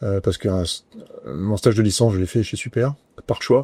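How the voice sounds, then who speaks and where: With a dark, mellow tone and fairly low pitch, a man speaks at a fairly quick pace and fairly even intonation in a dry, close sound with no echo. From southern France, Nice. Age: 50s. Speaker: company president. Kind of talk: interview. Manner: hesitant, many fillers.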